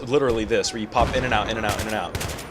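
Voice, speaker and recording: Over noticeable background noise, a man with a medium-pitched voice speaks at a fairly quick pace. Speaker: gaming commentator. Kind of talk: casual gameplay commentary. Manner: casual, hesitant with fillers.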